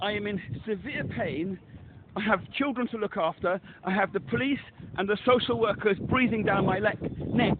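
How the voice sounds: A man's high-pitched voice with few pauses. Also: ordinary pitch variation, moderate pace.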